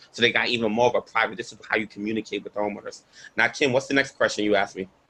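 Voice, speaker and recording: Bright and sharp, a man's medium-pitched voice with a New York accent goes at a very fast pace with fairly even intonation. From Brooklyn, New York. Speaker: environmental activist. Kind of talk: panel Q&A.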